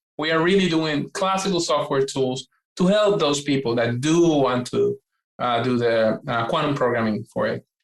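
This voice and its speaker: A man with a Puerto Rican accent, fairly high-pitched, at a moderate pace and ordinary pitch variation. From Puerto Rico. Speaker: quantum computing scientist. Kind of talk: interview. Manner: hesitant, many fillers and restarts.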